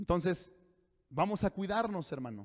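The voice belongs to a man. His pitch is high. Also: quiet background. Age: 40s. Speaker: pastor. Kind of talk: sermon. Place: church. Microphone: handheld.

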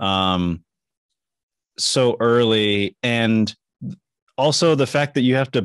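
A man talks at a very slow pace in a clear, smooth tone. His pitch is medium with ordinary variation.

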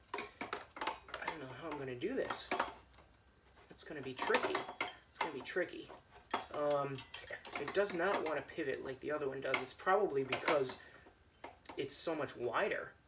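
A man at a moderate pace with ordinary pitch variation and long, frequent pauses, over loud background noise. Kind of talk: tutorial. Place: garage. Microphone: camera far.

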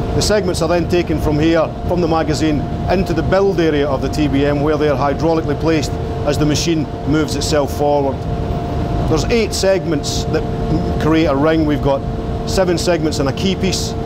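Loud background noise sits under speech at a fairly quick pace. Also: man. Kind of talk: guided tour explanation. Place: tunnel cave.

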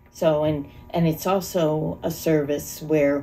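Speaking at a very slow pace, a woman with a very deep, low pitch is heard over faint music in the background. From Monroe County, Pennsylvania, USA; Pennsylvania. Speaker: volunteer EMT; interviewee. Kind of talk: interview answer. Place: home room.

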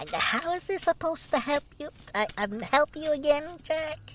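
Someone talks at a moderate pace in a high-pitched, whiny put-on character voice over clear background noise. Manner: whiny, sarcastic.

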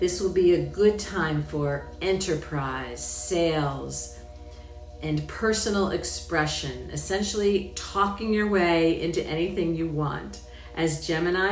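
A woman speaking at a fairly slow pace, with faint background music and audible room echo. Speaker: presenter. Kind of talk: scripted astrology forecast talk. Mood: upbeat, enthusiastic.

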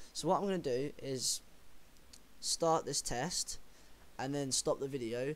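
With long, frequent pauses, a man of fairly high pitch talks at a very slow pace. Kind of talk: casual talk to camera.

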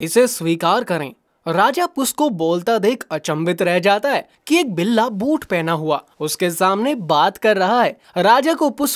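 On a very clean recording with a silent background, a man's high voice comes through dry and close with no echo. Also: lively intonation. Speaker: voice actor. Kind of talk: children's story narration.

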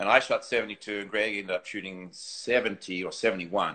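A man speaks with a New Zealand accent. The background is quiet. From New Zealand, North Island. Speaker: golf teacher and former tour pro; golf teacher. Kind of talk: casual interview. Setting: live video stream. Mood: relaxed, conversational. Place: home room. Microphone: phone near.

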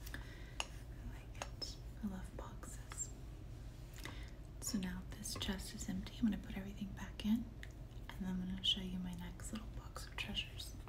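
Over noticeable background noise, a woman with a very deep, low pitch talks at a moderate pace in a flat monotone, leaving long, frequent pauses. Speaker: ASMR artist. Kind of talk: ASMR show-and-tell talk to viewer. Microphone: phone near.

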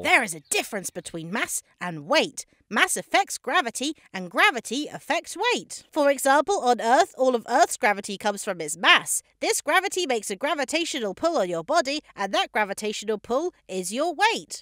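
A cartoonish character voice with a fairly high pitch and very wide pitch swings. The tone is upbeat, with hardly any pauses. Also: moderate pace. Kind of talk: comedic explainer narration. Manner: upbeat, eager.

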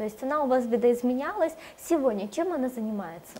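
Over noticeable background noise, a woman speaks very fast in a high pitch with lively intonation. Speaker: TV presenter. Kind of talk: TV interview. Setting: studio. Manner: formal.

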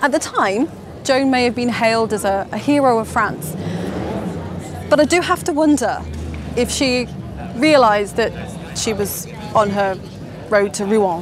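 A woman with lively intonation speaks at a fairly slow pace with long, frequent pauses, her voice dry with no echo against music in the background. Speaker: presenter. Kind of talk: presenter piece to camera. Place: street. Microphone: lapel.

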